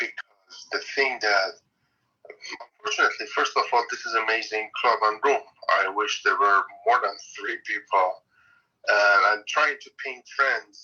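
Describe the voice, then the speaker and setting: The speech moves at a fairly slow pace, with long, frequent pauses and big swings in loudness. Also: man. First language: Neo-Aramaic. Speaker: participant in online class. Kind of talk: casual sharing in discussion. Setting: online audio room on Clubhouse.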